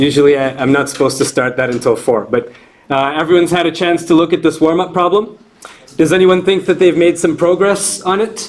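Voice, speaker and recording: Noticeable background noise sits behind a man with a high pitch. He moves at a fairly quick pace with ordinary pitch variation. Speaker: university lecturer. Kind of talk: lecture. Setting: classroom with students. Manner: loud.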